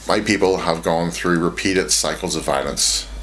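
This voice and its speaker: A man with a Northern Irish accent and a very deep, low pitch, ordinary pitch variation, noticeable background noise and audible room echo. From Northern Ireland. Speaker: video essayist on games. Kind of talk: scripted video essay narration.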